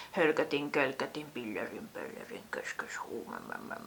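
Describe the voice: The speaker whispers in a put-on character voice.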